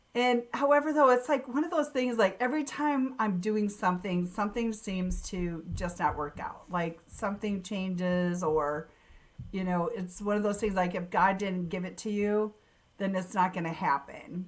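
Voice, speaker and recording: A woman with an American accent speaks in an animated tone. Her pitch is medium and her pace moderate. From US Midwest, Sioux Falls, South Dakota. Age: 60s. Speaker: networker and digital marketer. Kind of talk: casual interview chat.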